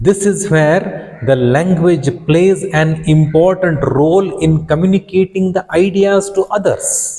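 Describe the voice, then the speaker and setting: A man with a Karnataka accent speaks at a fairly slow pace in a high pitch. His loudness is very even and his pitch variation ordinary. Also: hardly any pauses. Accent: Indian English (Kannada). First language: Kannada. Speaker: English teacher. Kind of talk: lecture.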